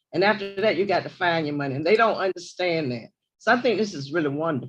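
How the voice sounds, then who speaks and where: A woman's voice with music in the background. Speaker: board trustee. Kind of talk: board meeting comments. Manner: casual.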